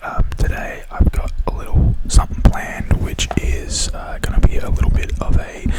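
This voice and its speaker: Noticeable noise sits behind the recording. A man whispers at a fairly slow pace. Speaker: ASMR creator. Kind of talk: casual talk to camera. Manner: relaxed, chatty.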